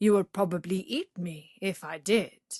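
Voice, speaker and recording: A woman does a put-on character voice. She growls as she speaks. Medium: read story. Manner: mild.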